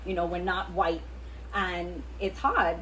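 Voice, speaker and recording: Here a woman talks at a moderate pace. Audible room echo surrounds her voice. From Trinidad. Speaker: podcast co-host. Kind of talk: casual chat.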